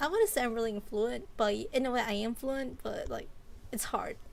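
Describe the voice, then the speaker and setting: This woman speaks with a Southeast Asian accent and a high pitch. Her pace is moderate. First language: Hmong. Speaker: vtuber streamer. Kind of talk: casual chat.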